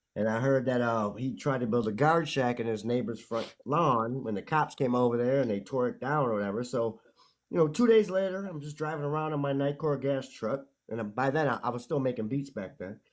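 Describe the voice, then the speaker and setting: A man speaks at a fairly quick pace in a plain, everyday voice of medium pitch with ordinary pitch variation. The background is quiet. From Chicago. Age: 50s. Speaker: music producer. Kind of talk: storytelling in casual chat.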